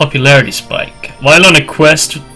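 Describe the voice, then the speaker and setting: There is music in the background as a man speaks with a fairly high pitch. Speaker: gaming streamer. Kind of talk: live game commentary. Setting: loud mic.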